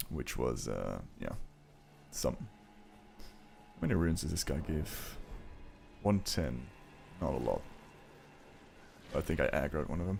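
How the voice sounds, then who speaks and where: This man has a very deep, low pitch with vocal fry, speaking at a fairly slow pace with lively intonation and long, frequent pauses. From Belgium. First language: not English. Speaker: gaming streamer. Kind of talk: casual live stream commentary while gaming. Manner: casual, filler-heavy.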